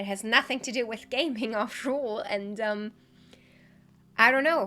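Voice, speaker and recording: A German accent over music in the background. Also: woman. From Germany. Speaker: YouTuber and streamer. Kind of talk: scripted year-review address to viewers.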